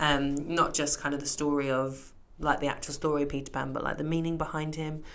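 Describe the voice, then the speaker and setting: Amid audible room echo, a woman speaks quietly at a fairly quick pace, her pitch very deep and low. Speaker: podcast co-host. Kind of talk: casual chat.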